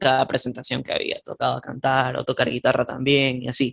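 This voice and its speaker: A man talks at a fairly quick pace at medium pitch. He has a normal speaking voice. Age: 20s. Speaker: indie musician. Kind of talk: casual chat.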